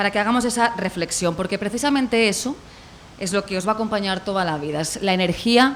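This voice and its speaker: A woman with a Spanish accent at a fairly quick pace, ordinary pitch variation and noticeable background noise. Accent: Spanish (Spain). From Spain. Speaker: corporate communications representative. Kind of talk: welcome speech at a university event. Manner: formal.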